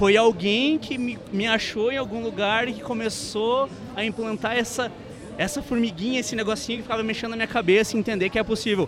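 Over noticeable background noise, a man talks at a fairly quick pace with a high pitch and fairly even intonation. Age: young. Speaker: podcast co-host. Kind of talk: casual interview. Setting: live event.

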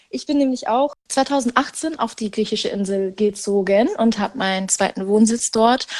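A woman with a fairly high voice talks at a moderate pace. Her pitch varies ordinarily, and she hardly pauses at all. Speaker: podcast co-host. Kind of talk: casual chat. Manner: hesitant, many fillers. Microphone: muffled, recording under a blanket.

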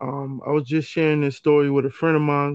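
Talking at a fairly quick pace, a man with an American accent uses a fairly high pitch. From New York City, the Bronx. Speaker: podcast co-host. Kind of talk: casual chat.

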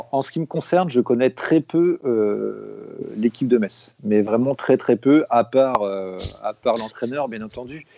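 A man at a medium pitch, very slow yet with hardly any pauses, ordinary pitch variation and big swings in loudness. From France, Rennes. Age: 40s. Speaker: football fan, burger maker. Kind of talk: casual chat.

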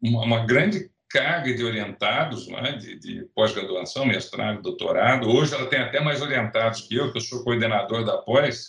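A man speaks at a medium pitch, with hardly any pauses. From Brazil, São Paulo state (Rio Claro). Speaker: botany professor. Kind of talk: interview. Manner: halting, many repetitions.

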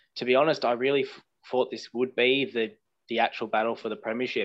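Very fast pace from a man with an Australian accent, intonation fairly even. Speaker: football podcast co-host. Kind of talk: casual chat.

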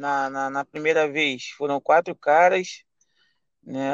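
The recording has a quiet background and a dry, close sound with no echo. A man with a fairly high pitch speaks at a very slow pace with fairly even intonation. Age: 20s. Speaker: rideshare driver. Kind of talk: casual chat. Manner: halting.

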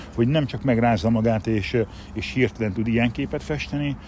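In a plain, everyday voice, a man of medium pitch talks at moderate speed with ordinary pitch variation. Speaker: martial arts instructor. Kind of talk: casual chat.

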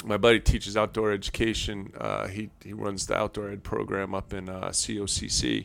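A man talks in a New York accent. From New York (Long Island). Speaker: outdoor enthusiast. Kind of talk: casual chat.

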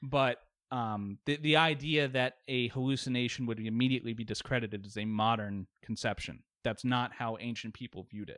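With an American accent, a man speaks at a medium pitch and fairly quick pace with fairly even intonation, on a very clean recording with a silent background. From Virginia, Richmond. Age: 30s. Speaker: atheist debate guest, engineer and war veteran. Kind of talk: casual debate.

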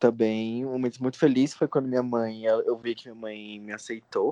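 This man's pitch sits in the medium range, and his intonation stays fairly even. He moves along at a moderate pace. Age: 20s. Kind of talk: interview testimony. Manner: halting.

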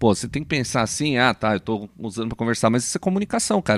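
On a very clean recording with a silent background and a dry, close sound with no echo, a man speaks at a medium pitch. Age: 30s. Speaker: podcast co-host, bassist. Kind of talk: casual chat.

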